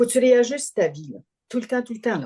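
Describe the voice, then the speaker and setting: Somewhat breathy, this woman's voice has a dark, mellow tone. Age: 70s. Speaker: family caregiver. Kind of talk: interview testimony. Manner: halting, repeats words.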